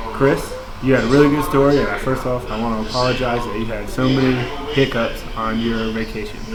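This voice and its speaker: A man's fairly quick, medium-pitched speech in an American accent, with audible room echo and noticeable background noise. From Florida. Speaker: student. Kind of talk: peer review monologue. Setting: at work. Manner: fast; filler-heavy, um and uh.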